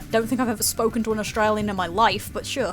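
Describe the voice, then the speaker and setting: Noticeable background noise behind a fairly high-pitched woman's voice. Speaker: gaming streamer. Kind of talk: casual chat.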